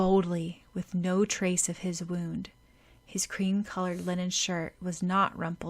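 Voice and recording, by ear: In a natural voice, a passage is read aloud.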